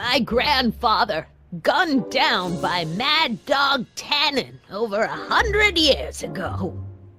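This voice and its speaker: With faint music in the background, a woman uses a high, cartoonish character voice at a fairly slow pace. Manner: scolding, moralizing.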